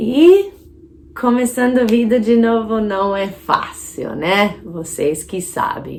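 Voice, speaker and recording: A very slow, fairly high-pitched woman's voice with an American accent and lively intonation. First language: English (speaking Portuguese). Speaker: English teacher. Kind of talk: casual vlog talk.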